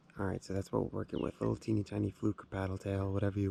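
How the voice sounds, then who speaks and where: At a very fast pace, a dark, mellow voice with ordinary pitch variation comes through dry and close, with no echo. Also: man. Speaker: fishing vlogger. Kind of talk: outdoor vlog narration. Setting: outdoors in a kayak on a lake. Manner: whispering.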